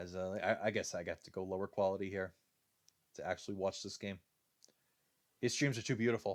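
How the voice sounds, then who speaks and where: A man with a Rhode Island accent talks at a fairly quick pace in a fairly low pitch, with fairly even intonation, big swings in loudness and long, frequent pauses, on a very clean recording with a silent background. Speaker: video game commentator. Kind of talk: live commentary. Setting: live stream. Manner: casual, with many filler uh's.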